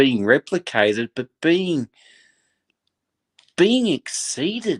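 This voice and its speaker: Using an Australian accent, a man at a fairly high pitch speaks at a very slow pace with very wide pitch swings and vocal fry. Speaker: football fan guest. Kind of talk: passionate fan commentary. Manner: animated.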